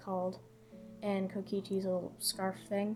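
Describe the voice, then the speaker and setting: Music in the background behind a woman's moderately paced speech. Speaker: digital artist. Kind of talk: speedpaint voiceover commentary.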